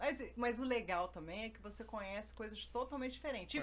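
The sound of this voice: A woman's fairly quick speech with a slight Carioca accent and ordinary pitch variation. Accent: mild Carioca.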